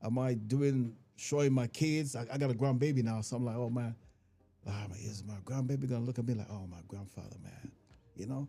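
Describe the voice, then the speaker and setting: A man speaks fairly quickly with an African accent. Music plays in the background. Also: medium pitch for a man, ordinary pitch variation. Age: 50s. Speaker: comedian. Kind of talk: casual chat.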